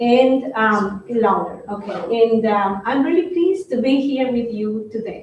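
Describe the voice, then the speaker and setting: A fairly slow delivery with a Colombian accent. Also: woman. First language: Spanish. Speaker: head of international peace organization. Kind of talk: live interview. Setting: room with live audience.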